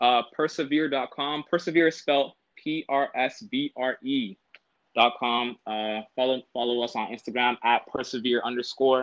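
A man with an unremarkable speaking voice talks at medium pitch with fairly even intonation. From Toronto, Canada. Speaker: former university football player. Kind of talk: casual interview.

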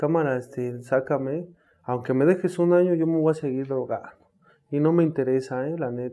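A man with an unremarkable speaking voice talks at a moderate pace. His pitch is fairly high and his intonation fairly even. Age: 30s. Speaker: recovering addict, runs rehab houses. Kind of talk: testimony.

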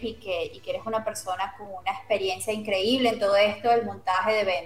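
Against noticeable background noise, a woman with a fairly high pitch talks with ordinary pitch variation. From Venezuela, Caracas. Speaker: radio host. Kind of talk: interview.

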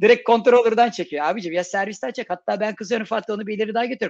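The delivery is very fast, and the sound is dry and close with no echo. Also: man. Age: 40s. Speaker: software developer. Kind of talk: casual chat.

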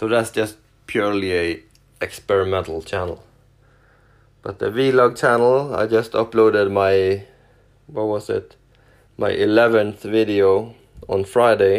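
A man with a Norwegian accent talks at a fairly slow pace with long, frequent pauses. His pitch is fairly low and his intonation fairly even. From Norway. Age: 40s. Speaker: truck driver and YouTuber. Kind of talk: casual solo podcast, self-introduction. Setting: home, sitting on the couch. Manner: hesitant, many filler words.

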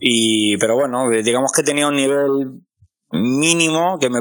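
A very slow pace with ordinary pitch variation. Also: man. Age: 30s. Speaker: podcast host and amateur musician. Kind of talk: interview. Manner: halting.

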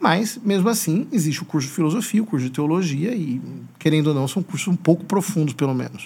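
Lively intonation carries this man's speech at a fairly quick pace. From Brazil, São Paulo state (Piracicaba). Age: 40s. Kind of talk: interview conversation.

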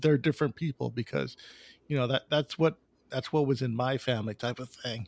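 A man with a normal speaking voice and an American accent, fairly high in pitch with ordinary variation, at a moderate pace, with a dry, close sound with no echo over a quiet background. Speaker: podcast host. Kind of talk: casual interview chat.

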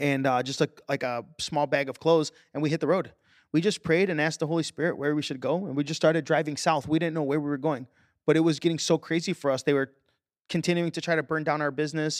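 A man with an American accent talks at a very fast pace and a fairly high pitch. The sound is dry and close with no echo, on a very clean recording with a silent background. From Chicago. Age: 30s. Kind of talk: testimony. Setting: studio. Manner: energetic.

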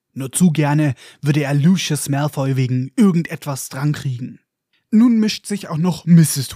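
On a very clean recording with a silent background and a dry, close sound with no echo, a somewhat breathy voice with a dark, mellow tone speaks at a fairly slow pace with ordinary pitch variation. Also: man. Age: 20s. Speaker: podcast host. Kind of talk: book discussion podcast with narration. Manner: animated.

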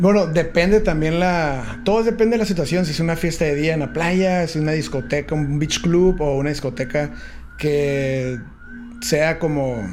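Fairly high-pitched male voice at a moderate pace, with noticeable background noise and audible room echo. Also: ordinary pitch variation. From San Diego/Tijuana border region. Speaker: DJ and music producer. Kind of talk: casual interview. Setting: studio.

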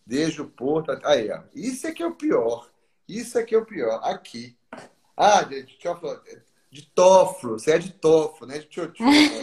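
At a moderate pace, a high-pitched man talks with very wide pitch swings and big swings in loudness. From Brazil. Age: 50s. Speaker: textile importer. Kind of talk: interview. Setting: live stream. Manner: halting, many repetitions.

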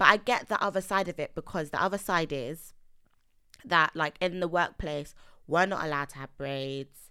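A woman speaks at a moderate pace in a fairly low pitch, with a bright, sharp tone and ordinary pitch variation. Her loudness swings widely on a very clean recording with a silent background. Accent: London. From East London, Nigerian heritage. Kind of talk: casual chat.

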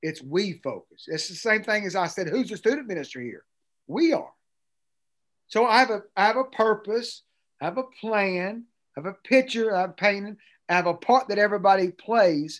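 Against a quiet background, a man with an East Tennessee accent speaks at a fairly quick pace in an energetic tone with a high pitch. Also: lively intonation. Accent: Southern US (East Tennessee). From Tennessee, US South. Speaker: pastor and student ministry expert. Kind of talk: interview conversation.

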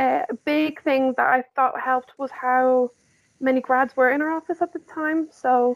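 Speaking in a Northern Irish accent, a woman talks at a moderate pace with a high pitch and fairly even intonation. The recording is very clean and dry, with a close sound, no echo and a silent background. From Northern Ireland, near Newry. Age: 20s. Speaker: graduate market executive. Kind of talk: casual chat.

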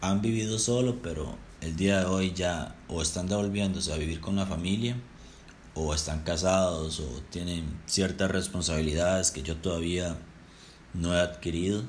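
A man speaks with a Costa Rican accent in a very deep, low voice. His pace is moderate, and there is audible room echo. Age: 20s. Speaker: podcaster. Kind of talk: personal storytelling monologue. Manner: casual.

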